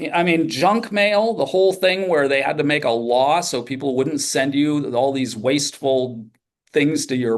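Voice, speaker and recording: A fairly high-pitched man with lively intonation, talking at a fairly slow pace. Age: 60s. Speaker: workshop participant, educator. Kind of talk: group discussion. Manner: halting.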